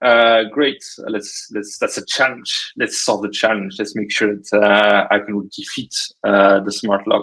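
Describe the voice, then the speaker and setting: A man's fairly low, bright, sharp voice in a French accent, at a fairly slow pace with monotone, flat intonation and hardly any pauses. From France. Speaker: cybersecurity startup technologist. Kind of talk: casual podcast interview. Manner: hesitant, many fillers.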